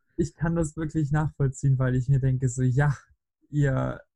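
A man speaks at a moderate pace with a fairly high pitch and monotone, flat intonation. His tone is dark, mellow and somewhat breathy, in a dry, close sound with no echo. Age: 20s. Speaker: podcast guest. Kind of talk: casual chat.

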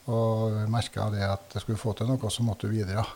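At a moderate pace, a man talks in a medium-pitched voice. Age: 60s. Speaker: politician and former farmer. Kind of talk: interview. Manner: halting.

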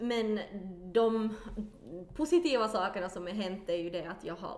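Through noticeable background noise and audible room echo, a woman speaks at a fairly high pitch with lively intonation. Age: 30s. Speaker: actor and musical singer. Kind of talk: casual chat.

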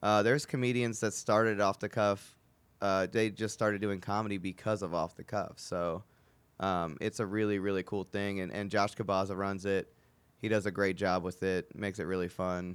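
In a very clean recording with a silent background, a man with a normal speaking voice talks at a moderate pace, his pitch fairly low and his intonation fairly even. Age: 20s. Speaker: comedian and podcast host. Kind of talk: casual chat.

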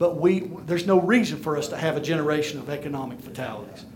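A man talks at a very fast pace in a fairly high pitch with ordinary pitch variation. Room echo is audible, and background noise is noticeable. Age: 50s. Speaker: minister and business speaker. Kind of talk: conference talk to church audience. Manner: animated.

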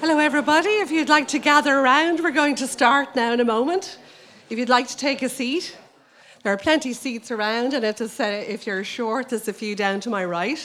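Quick-paced and lively in intonation, a woman with an Irish accent speaks at a high pitch. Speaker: librarian. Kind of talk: welcome speech. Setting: stage with audience.

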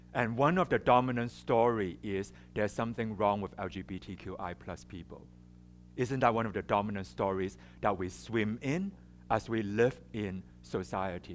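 A man with a Chinese accent speaks at a fairly slow pace with lively intonation. Music plays in the background. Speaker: psychotherapist and speaker. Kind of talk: public talk. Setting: stage with audience and microphone.

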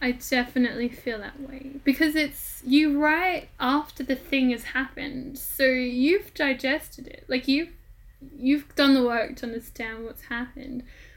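A woman with an Australian accent speaks at a fairly slow pace in a high voice, her intonation fairly even but her loudness swinging widely. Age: 20s. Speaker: podcast host and freelance writer. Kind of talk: panel discussion moderation. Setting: remote recording.

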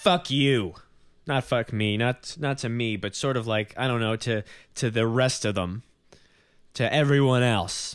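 A man with an American accent and a medium pitch talks at a fairly slow pace with ordinary pitch variation against a quiet background. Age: 20s. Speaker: podcast host and comedian. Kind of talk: casual interview with intro. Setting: home apartment recording. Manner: halting, self-conscious, filler words.

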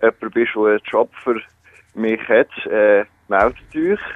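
The man has a normal speaking voice at medium pitch and talks at a fairly slow pace. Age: 20s. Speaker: student and radio presenter. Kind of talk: phone interview. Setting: phone call.

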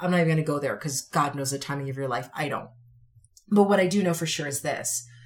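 The delivery is animated and very fast, with ordinary pitch variation. The voice is somewhat breathy. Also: woman, very deep, low pitch for a woman. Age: 40s. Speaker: podcast host and author. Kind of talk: solo motivational talk. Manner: conversational, with fillers.

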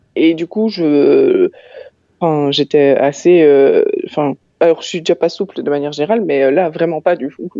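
Her fairly low voice moves at a moderate pace, and this woman uses ordinary pitch variation. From Belgium, Ottignies-Louvain-la-Neuve area. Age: 30s. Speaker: transit company documentalist. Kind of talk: casual interview.

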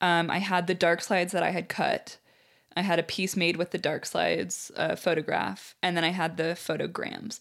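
On a very clean recording with a silent background, a woman speaks at a moderate pace in a fairly low, monotone voice with vocal fry and very even loudness. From US Midwest (Peoria, Illinois). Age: 30s. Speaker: visual artist. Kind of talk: casual interview.

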